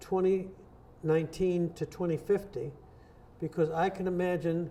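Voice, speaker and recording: High in pitch, a man's voice carries a dark, mellow tone. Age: 80s+. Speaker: innovation consultant. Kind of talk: interview.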